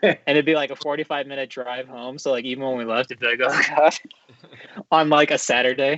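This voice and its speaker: With a Midwestern US accent, a man speaks fairly quickly in a fairly high pitch and fairly even intonation. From Japan, then Cincinnati area, Ohio. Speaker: podcast host. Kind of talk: casual chat.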